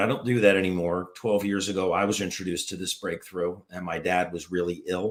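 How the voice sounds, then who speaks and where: On a very clean recording with a silent background, a man with an American accent and an unremarkable speaking voice talks at a moderate pace, his fairly low pitch showing ordinary variation. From US, Washington DC area. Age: 60s. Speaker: former foot surgeon, health product promoter. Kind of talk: live interview.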